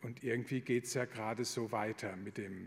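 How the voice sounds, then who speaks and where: This is a man with an unremarkable speaking voice. His pitch is medium and his pace moderate. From Palatinate, southwest Germany. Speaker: Jesuit priest. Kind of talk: lecture.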